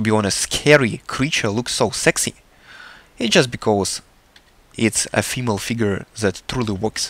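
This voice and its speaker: Over a dry, close sound with no echo, a man with a Russian accent speaks at a medium pitch and moderate pace, with ordinary pitch variation and long, frequent pauses. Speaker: artist. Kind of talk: tutorial. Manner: halting.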